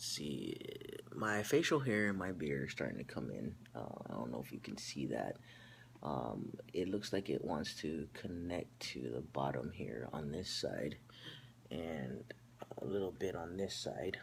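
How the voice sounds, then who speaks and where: A man speaks at a fairly slow pace in a very deep, low voice with vocal fry. His pitch swings very widely. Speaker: vlogger. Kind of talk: personal video update. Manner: halting, many fillers.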